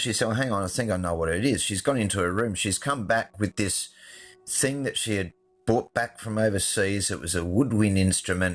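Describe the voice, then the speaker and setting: A man with an Australian accent at a fairly low pitch and moderate pace, with music in the background. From Adelaide, Australia. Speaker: film and television director. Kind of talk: storytelling.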